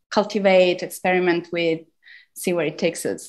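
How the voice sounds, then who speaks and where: Against a quiet background, a woman talks at a medium pitch with an Italian accent. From Italy (Turin). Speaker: academic lecturer. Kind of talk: lecture. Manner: halting, many fillers.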